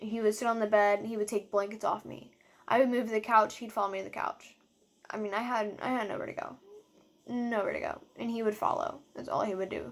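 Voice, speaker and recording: Speaking at a fairly quick pace, a woman with a fairly high voice swings widely in loudness. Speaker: domestic violence survivor vlogger. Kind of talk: personal testimony. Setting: self-filmed video. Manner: fast; hesitant with frequent fillers.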